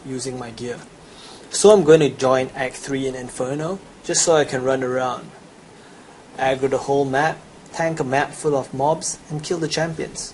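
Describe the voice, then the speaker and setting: A man with a Chinese accent, fairly high pitch and fairly even intonation at a moderate pace, over noticeable background noise. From China. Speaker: gamer. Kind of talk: gameplay tutorial sales pitch.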